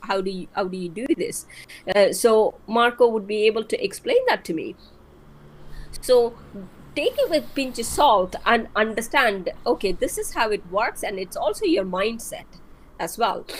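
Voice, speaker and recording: Her pitch is fairly high. The woman talks at a moderate pace. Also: lively intonation. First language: not English. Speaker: marketing expert guest. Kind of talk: live-stream interview.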